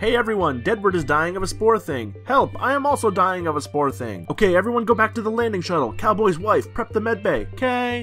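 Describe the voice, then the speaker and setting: At a middle pitch and a fairly quick pace, the voice carries over clear music in the background. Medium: voice reel.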